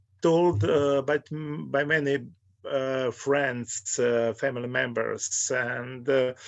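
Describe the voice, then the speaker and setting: A man with a Croatian accent speaks at a very slow pace, his medium-pitched voice carrying fairly even intonation. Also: very even loudness. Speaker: author. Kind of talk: interview. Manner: halting.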